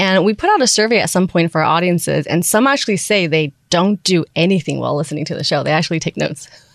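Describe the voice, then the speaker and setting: Speaking with a Taiwanese-American accent, a woman rushes at a very fast pace with hardly any pauses. Her fairly low pitch has ordinary variation, and the sound is dry and close with no echo. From Taiwan, schooled in the US from middle school. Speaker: podcast network founder. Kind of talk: interview. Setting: studio.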